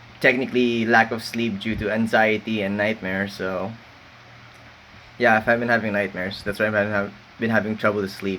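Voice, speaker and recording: The speaker mumbles at a fairly quick pace with monotone, flat intonation. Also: man, fairly low pitch for a man. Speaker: university student vlogger. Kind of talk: late-night solo rant. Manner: mumbling; halting.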